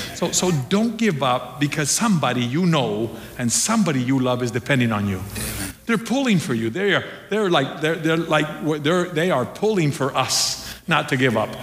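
A man with a fairly high pitch uses very wide pitch swings at a very even loudness, with noticeable background noise behind him. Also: moderate pace. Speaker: pastor. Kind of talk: sermon. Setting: church. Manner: halting, with many filler words.

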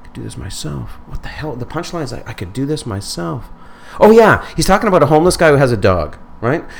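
Over noticeable background noise, a man talks very fast at a fairly high pitch. His pitch swings very widely and his loudness shifts a lot. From northern Manitoba, Canada. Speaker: stand-up comedian. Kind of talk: casual interview chat. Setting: studio.

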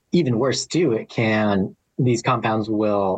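In an American accent, a man speaks with an unremarkable speaking voice, fairly low pitch and ordinary pitch variation at a moderate pace, the sound dry and close with no echo. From Arizona (Flagstaff). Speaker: hydrologist. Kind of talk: interview.

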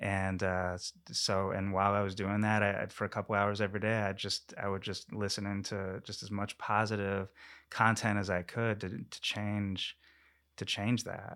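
In a very clean recording with a silent background, a man speaks at a moderate pace with a fairly low, bright and sharp voice and flat, monotone intonation. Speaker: actor and tech company CEO. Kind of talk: casual interview chat. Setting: studio. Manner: halting, frequent repetitions.

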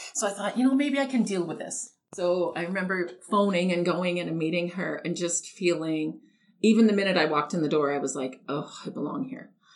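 With a Canadian accent, a woman uses an unremarkable speaking voice at a fairly low pitch, with lively intonation and a moderate pace. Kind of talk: personal testimony.

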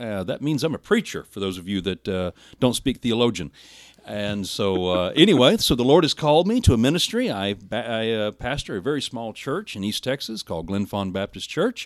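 A man speaks at a fairly quick pace with lively intonation in a plain, everyday voice, recorded dry and close with no echo on a very clean track with a silent background. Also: medium pitch for a man. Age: 40s. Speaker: minister. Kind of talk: sermon; casual chat.

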